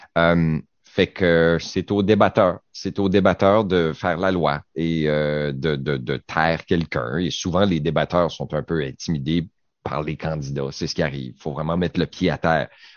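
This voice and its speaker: Fairly even intonation carries the words along at a fairly slow pace. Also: man, very deep, low pitch for a man. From Quebec, Saguenay-Lac-Saint-Jean. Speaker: radio panelist. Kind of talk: casual chat.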